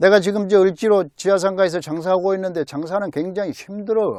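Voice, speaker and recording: An animated, high-pitched man with ordinary pitch variation, on a very clean recording with a silent background. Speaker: political commentary vlogger. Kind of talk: casual political monologue.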